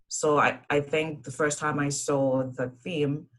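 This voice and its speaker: A woman speaks with a Zimbabwean accent. Her very deep, low voice stays monotone and flat. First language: Shona. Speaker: engineer, university alumna. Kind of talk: panel presentation.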